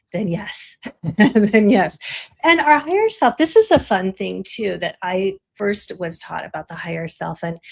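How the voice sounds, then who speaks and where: A woman talks at a fairly slow pace. Her loudness swings widely. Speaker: spiritual teacher. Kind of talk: interview.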